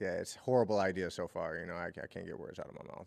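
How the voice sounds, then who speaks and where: A man with ordinary pitch variation in a very clean recording with a silent background. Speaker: sports fan podcast co-host. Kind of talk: casual chat. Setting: live stream. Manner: halting, stumbling over words.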